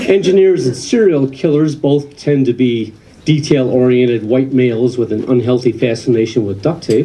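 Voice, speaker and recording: With an American accent, a man speaks at a moderate pace and medium pitch with ordinary pitch variation and hardly any pauses, amid audible room echo and noticeable background noise. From Western New York. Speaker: comedian. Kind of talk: stand-up. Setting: stage with audience.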